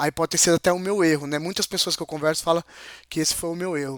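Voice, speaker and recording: The intonation remains mostly level. There is no echo at all, as the sound is dry and close. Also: man. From interior of São Paulo state, Brazil. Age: 40s. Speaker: interview guest, mechanical technician. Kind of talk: casual interview chat. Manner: halting, with many hesitations.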